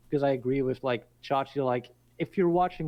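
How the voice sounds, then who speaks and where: A man at a medium pitch and a moderate pace, with a Dutch accent and fairly even intonation. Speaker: podcast guest. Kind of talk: casual chat.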